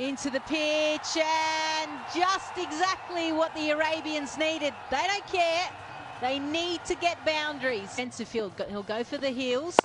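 A woman speaks at a fairly slow pace in a high voice, with noticeable background noise behind her. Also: ordinary pitch variation. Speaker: cricket commentator. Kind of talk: live commentary.

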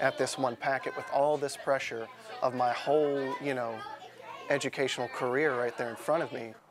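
With crowd noise in the background, a man speaks in monotone, flat intonation. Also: moderate pace. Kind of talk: interview answer. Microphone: lapel.

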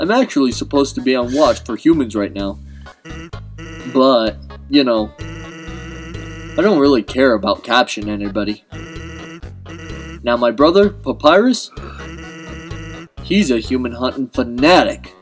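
Faint music plays behind a man doing a put-on character voice at a medium pitch. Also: moderate pace. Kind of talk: casual gaming commentary. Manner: laid-back, lazy.

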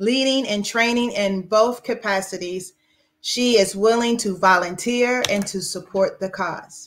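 A woman speaks at a fairly slow pace. Her pitch varies in an ordinary way. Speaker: event organizer. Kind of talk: formal welcome. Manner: formal. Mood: warm, smiling.

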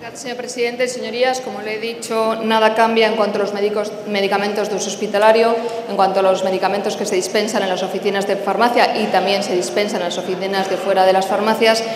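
With clear background noise behind her, a woman speaks fast with few pauses, her medium pitch showing little movement.

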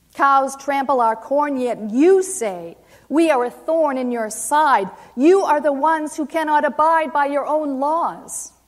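A woman with an American accent at a high pitch, very slow pace and ordinary pitch variation, over a quiet background. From Maine, US. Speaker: poet. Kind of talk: poetry reading. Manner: halting. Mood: solemn, impassioned. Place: hall.

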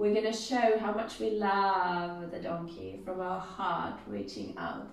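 A woman talks at a fairly slow pace, and the room around her gives off an audible echo. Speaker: exercise instructor. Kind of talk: exercise class instruction. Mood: playful, encouraging. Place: empty room. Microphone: camera far.

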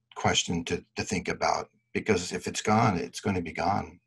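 Somewhat breathy, the man talks at a fairly slow pace against a quiet background. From Alaska. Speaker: board member and candidate; candidate. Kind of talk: candidate panel discussion; panel discussion answer. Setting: video call. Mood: earnest, advocating. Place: home room. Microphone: video call.

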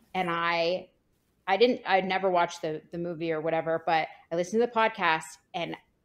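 A woman speaks at a moderate pace in a normal speaking voice, with ordinary pitch variation. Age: 30s. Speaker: plastic surgeon. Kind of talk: casual panel discussion.

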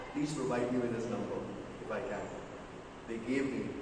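Strong room echo with noticeable background noise. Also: man. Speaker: club meeting host. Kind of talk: meeting speech introduction. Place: hall. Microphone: camera far.

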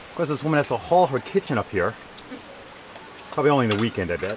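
Very fast and with very wide pitch swings, a man talks in a dry sound with no echo against noticeable background noise. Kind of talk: casual travel vlog narration. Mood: cheerful, joking. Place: open country. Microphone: phone near.

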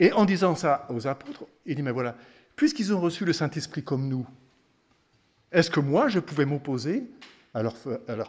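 Somewhat breathy and fairly high in pitch, a man's voice carries lively intonation. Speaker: preacher. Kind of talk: sermon. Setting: family camp gathering. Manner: teaching, explanatory, conversational; earnest, devout. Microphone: podium.

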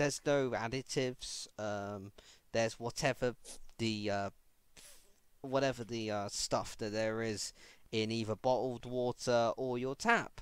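Speaking at a fairly slow pace with long, frequent pauses, a man talks in a medium-pitched voice. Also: fairly even intonation. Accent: British. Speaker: podcast host. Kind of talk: casual chat.

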